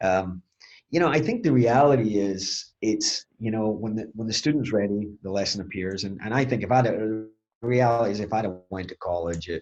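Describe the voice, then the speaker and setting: With a Scottish accent, a fairly low-pitched man talks at a moderate pace with ordinary pitch variation. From Scotland. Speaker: HVAC training executive. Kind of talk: podcast interview answer.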